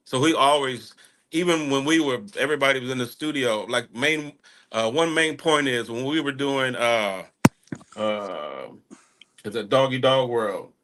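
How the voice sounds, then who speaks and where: This man has a strong rural Texas accent and a medium pitch with ordinary pitch variation. His tone is bright and sharp, his pace moderate, and the background quiet. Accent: strong country Texas. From Texas, small town. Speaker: music artist. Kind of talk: casual interview chat. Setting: live online radio show.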